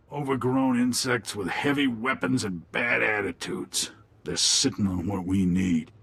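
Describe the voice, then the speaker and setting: Using a put-on character voice, a man speaks raspy and fairly low at a moderate pace. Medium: video game. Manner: smooth, urbane.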